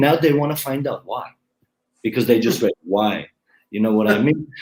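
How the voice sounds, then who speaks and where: Lively intonation runs through this voice, spoken with a non-native accent. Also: man. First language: not English. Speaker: YouTube growth advisor. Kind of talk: interview.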